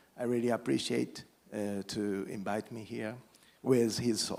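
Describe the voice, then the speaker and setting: A man with a Japanese accent at a fairly slow pace, his intonation monotone and flat. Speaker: politician. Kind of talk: panel remarks. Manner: halting.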